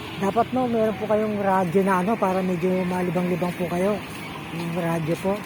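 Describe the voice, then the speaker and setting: A soft-spoken voice moves at a moderate pace over noticeable background noise. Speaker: vlogger interviewing street elder. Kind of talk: casual street interview.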